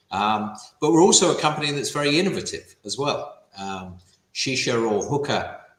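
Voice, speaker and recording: A man with a British accent and lively intonation. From England (London, Wimbledon). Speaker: company CEO. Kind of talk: business interview.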